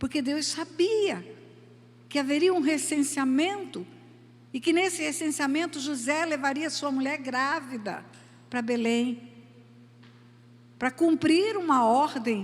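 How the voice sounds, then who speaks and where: A woman talks at a very slow pace with a high pitch and lively intonation, pausing long and often. Room echo can be heard. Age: 70s. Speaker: preacher. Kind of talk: sermon.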